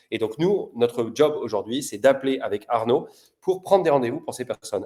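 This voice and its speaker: A man speaks here. His tone is dark and mellow, at a medium pitch. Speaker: sales prospecting coach. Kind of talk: live-streamed cold-call coaching show. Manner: animated; fast.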